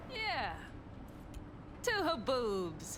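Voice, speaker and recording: A woman puts on a high-pitched character voice over loud background noise. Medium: video game. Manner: blunt, dry.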